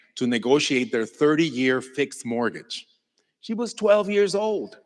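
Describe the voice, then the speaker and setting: A man with a Mexican accent speaks at a fairly slow pace, his fairly high pitch swinging very widely. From Mexico. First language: Spanish. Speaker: Mexican folk musician. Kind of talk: inspirational stage talk.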